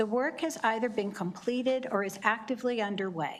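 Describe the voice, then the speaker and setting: A soft-spoken woman talks at a moderate pace. Her pitch varies in an ordinary way. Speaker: executive director of a state licensing board. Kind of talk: testimony. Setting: legislative committee hearing.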